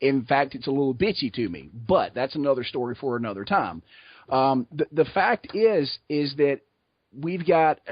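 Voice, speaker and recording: A man speaks with a Southern US accent at a fairly high pitch. His intonation is lively. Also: moderate pace. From US South, south Georgia. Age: 30s. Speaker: podcast guest. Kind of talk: casual chat.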